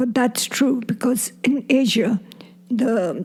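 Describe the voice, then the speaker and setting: Very slow delivery from a woman at a fairly high pitch, with fairly even intonation over noticeable background noise. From Burma. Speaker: grandmother, war refugee. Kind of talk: interview.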